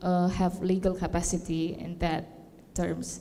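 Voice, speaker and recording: Through noticeable background noise, the speech moves at a fairly slow pace in a flat monotone. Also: woman. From Indonesia, Jakarta. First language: not English; English is third language. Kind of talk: panel discussion. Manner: halting.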